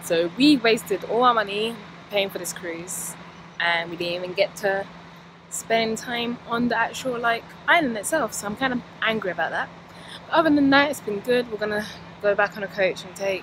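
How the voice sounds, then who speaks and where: The recording has noticeable background noise and a dry sound with no echo. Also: woman, ordinary pitch variation, moderate pace. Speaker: travel vlogger. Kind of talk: casual vlog chat. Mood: annoyed but upbeat. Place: street. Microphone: phone near.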